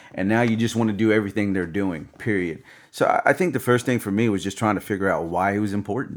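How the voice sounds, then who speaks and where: At a very fast pace, a man with an American accent and a fairly low pitch speaks with ordinary pitch variation. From US South. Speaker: DJ. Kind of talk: casual interview chat. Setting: studio with camera.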